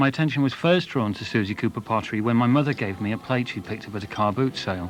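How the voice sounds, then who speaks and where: A man's medium-pitched voice at a very fast pace, ordinary pitch variation, music in the background. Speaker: design historian. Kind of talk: documentary narration.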